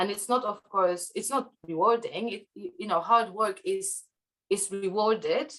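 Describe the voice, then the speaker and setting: A woman speaks with a Polish accent at a fairly high pitch. Her pace is fairly slow, with ordinary pitch variation. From Poland. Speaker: podcast guest. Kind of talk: interview conversation. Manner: halting, many fillers.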